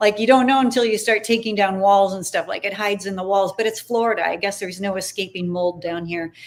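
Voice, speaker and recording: A woman with a plain, everyday voice at a medium pitch, fairly even intonation and a fairly quick pace, in a very clean recording with a silent background. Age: 60s. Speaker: former broadcaster, livestream host. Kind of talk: casual interview chat.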